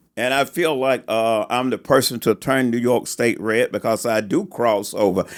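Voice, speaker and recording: Delivered at a moderate pace with hardly any pauses, the voice keeps a very even loudness and ordinary pitch variation. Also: man, medium pitch for a man. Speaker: political candidate and podcast co-host. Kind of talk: casual political podcast chat. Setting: studio.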